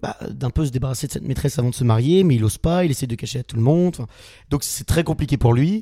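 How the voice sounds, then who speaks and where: The voice is somewhat breathy, with a dark, mellow tone. It races along at a very fast pace. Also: man, medium pitch for a man, ordinary pitch variation. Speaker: student actor, theatre club vice-president. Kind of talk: casual interview.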